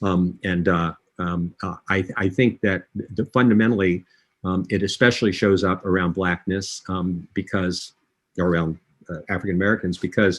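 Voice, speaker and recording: Over a quiet background, a man with a very deep, low pitch talks at a moderate pace with fairly even intonation. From US South, Alexandria, Virginia. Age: 70s. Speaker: diversity consultant. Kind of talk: interview. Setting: live online session.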